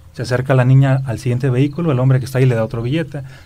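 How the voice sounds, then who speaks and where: A man speaks at a very fast pace with fairly even intonation. His voice is somewhat breathy, with a dark, mellow tone. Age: 30s. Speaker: spiritual speaker and author. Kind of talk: interview.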